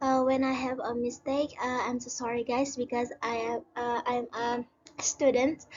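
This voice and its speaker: Her pitch high and her intonation monotone and flat, a woman speaks at a fairly slow pace. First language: Indonesian. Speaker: student. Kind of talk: school presentation. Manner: halting.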